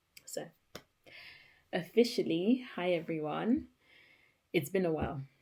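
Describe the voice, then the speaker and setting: A woman with a dark, mellow tone, fairly low pitch and vocal fry, with very wide pitch swings at a fairly slow pace. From Cameroonian family, grew up in Britain. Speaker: YouTuber. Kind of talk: personal vlog monologue, partly read from notes.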